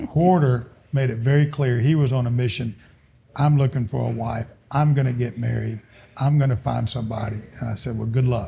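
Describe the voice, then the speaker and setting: This man talks at a fairly quick pace in an Alabama accent, with medium pitch and fairly even intonation. His tone is dark and mellow, and somewhat breathy. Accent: Southern US (Alabama). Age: 70s. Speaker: business owner. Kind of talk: casual chat.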